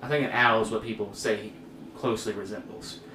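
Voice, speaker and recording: Medium-pitched male speech at a moderate pace amid audible room echo and noticeable background noise. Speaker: church youth podcast host. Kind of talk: casual chat. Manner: halting.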